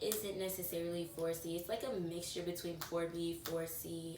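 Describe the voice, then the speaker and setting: The woman's voice sits fairly low in pitch, with audible room echo and noticeable background noise around her. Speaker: lifestyle vlogger. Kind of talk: casual chat. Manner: animated.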